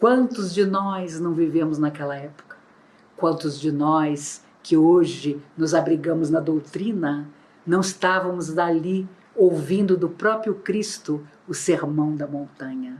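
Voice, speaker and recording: Very slowly, a woman speaks at a fairly low pitch with ordinary pitch variation. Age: 60s. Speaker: spiritist lecturer. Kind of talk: religious lecture. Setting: online, not in person. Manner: formal.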